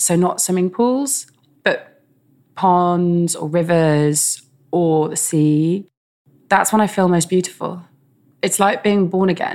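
In a very clean recording with a silent background, a woman with a London accent and a fairly low voice speaks very slowly, leaving long, frequent pauses. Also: ordinary pitch variation. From England, West London. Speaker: artist. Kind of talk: interview conversation.

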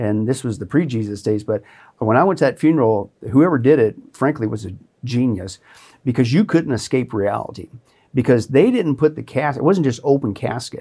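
A man with an American accent, medium pitch, dark, mellow tone, lively intonation and moderate pace, on a very clean recording with a silent background. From US Midwest, southeast Kansas. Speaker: pastor. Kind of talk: testimony. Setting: studio.

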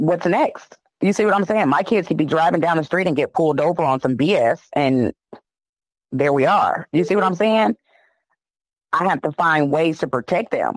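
With an American accent, a woman speaks at a fairly low pitch with lively intonation and very even loudness. Her moderate pace carries long, frequent pauses, in a dry, close sound with no echo. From Chicago. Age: 30s. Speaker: sister of an injured inmate. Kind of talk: interview testimony. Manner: emotional.

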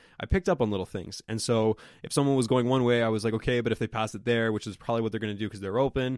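A man speaks at a very fast pace in a medium pitch, the sound dry and close with no echo. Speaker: podcast host. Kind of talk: casual chat. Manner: fast talker; filler-heavy, rambling.

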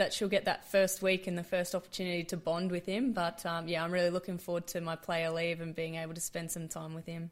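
A woman with an Australian accent at a medium pitch, in a very clean recording with a silent background. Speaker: professional cricketer. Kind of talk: interview.

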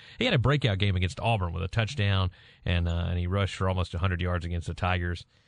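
Against a quiet background, a man with a Southern US accent speaks very fast in a very deep, low pitch with fairly even intonation. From Mississippi. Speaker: sports radio co-host. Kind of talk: casual sports talk. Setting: radio studio.

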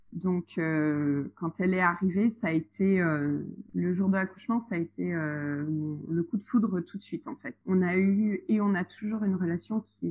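A woman speaks with a fairly low, somewhat breathy voice. Her pitch varies in an ordinary way. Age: 30s. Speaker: childminder and single mother. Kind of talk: casual interview chat. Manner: hesitant, many fillers.

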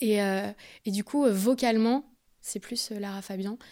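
A woman speaks at a medium pitch with a dark, mellow tone. Her intonation stays fairly even, and the recording is very clean with a silent background. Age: 20s. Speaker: singer-songwriter. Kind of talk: interview.

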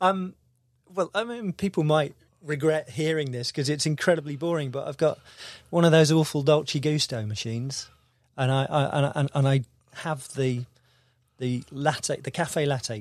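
A man with a slight Devon accent talks at a moderate pace, with long, frequent pauses. The recording is very clean, with a silent background. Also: fairly high pitch for a man, ordinary pitch variation. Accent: slight Devon accent, barely detectable. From Devon, south-west England. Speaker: musician, band leader. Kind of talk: casual interview chat. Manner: halting, with many repeated words.

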